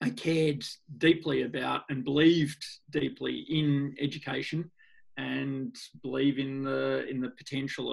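A man with an Australian accent at a fairly slow pace. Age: 40s. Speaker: NGO founder, skateboarder. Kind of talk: interview conversation.

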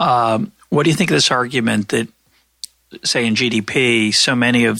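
A man with vocal fry and a bright, sharp tone. His intonation stays fairly even at a moderate pace. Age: 60s. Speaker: economics podcast host. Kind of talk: interview conversation.

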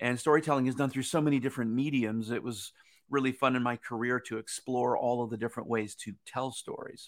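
A man with a normal speaking voice and a medium pitch talks at a fairly quick pace with fairly even intonation on a very clean recording with a silent background. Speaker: former theme park designer, business consultant. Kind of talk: interview. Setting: live-streamed show.

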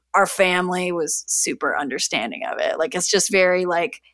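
A woman with a Canadian accent talks at a moderate pace and medium pitch in a plain, everyday voice. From Canada, Niagara region of Ontario. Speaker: food blogger and cookbook author. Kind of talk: casual interview chat.

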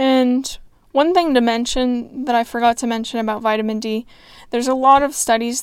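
A woman speaks in a high pitch. Her pace is moderate. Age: 20s. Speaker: solo podcast host. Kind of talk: solo monologue. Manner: casual, conversational.

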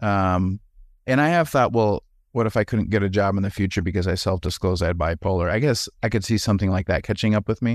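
In a Wisconsin accent, a man speaks very fast at a fairly low pitch with ordinary pitch variation and very even loudness, in a very clean recording with a silent background and a dry, close sound with no echo. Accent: Wisconsin Upper Midwest, noticeable vowels. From Wisconsin, US. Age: 40s. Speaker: former pastor, healthcare administrator. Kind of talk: casual conversational interview.

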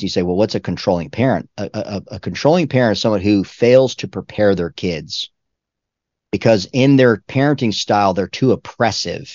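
A man speaks in an ordinary speaking voice at a fairly low pitch. His pace is fairly quick, with ordinary pitch variation. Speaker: pastor and author. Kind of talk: interview.

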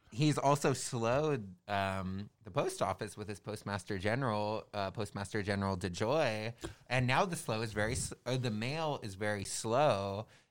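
A man with an American accent speaks at a fairly low pitch and a moderate pace, with ordinary pitch variation. He has a plain, everyday voice. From Southern California, Orange County. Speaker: election worker. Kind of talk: casual chat. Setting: studio.

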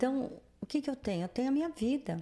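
A woman's dark, mellow voice with lively intonation. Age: 60s. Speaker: host's mother. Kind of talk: casual chat. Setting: livestream studio.

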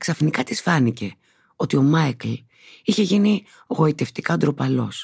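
The woman's voice makes very wide pitch swings. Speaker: actress reading the novel excerpts. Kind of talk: literary audiobook reading, narrated prose passages from the novel. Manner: measured, smooth and expressive narration.

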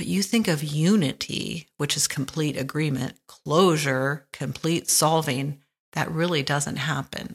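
A woman's very deep, low voice in a relaxed tone, at a fairly slow pace with ordinary pitch variation. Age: 60s. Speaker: podcast host. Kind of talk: reflective monologue. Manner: relaxed, laughs often.

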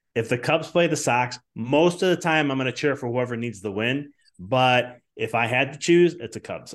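In an American accent, a man speaks in an ordinary speaking voice at medium pitch and moderate pace, with lively intonation, big swings in loudness and hardly any pauses, over a quiet background. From Chicago. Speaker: business coach and chiropractor. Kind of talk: podcast interview.

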